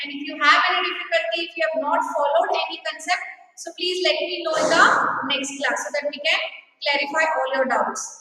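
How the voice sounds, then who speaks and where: A woman's raised, projected voice at an extremely high pitch, with ordinary pitch variation, big swings in loudness and audible room echo. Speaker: school teacher. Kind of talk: online class lecture. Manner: slow.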